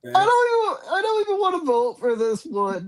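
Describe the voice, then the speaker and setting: This put-on character voice is whiny and extremely high-pitched. It moves at a moderate pace. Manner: whining, complaining.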